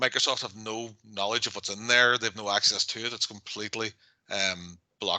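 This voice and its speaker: A man's medium-pitched voice, bright and sharp in tone, at a fairly quick pace. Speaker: IT consultant presenting workshop. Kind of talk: webinar presentation. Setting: online workshop. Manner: fast.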